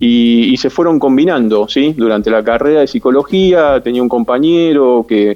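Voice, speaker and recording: A man speaks at a moderate pace with hardly any pauses, his loudness very even. His pitch is medium, with ordinary variation. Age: 50s. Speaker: sports psychologist. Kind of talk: interview. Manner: halting.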